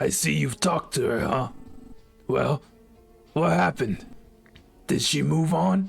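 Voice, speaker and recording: A man's put-on character voice, raspy and gravelly at a medium pitch, at a moderate pace with faint music in the background. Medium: game stream. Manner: harsh, contemptuous.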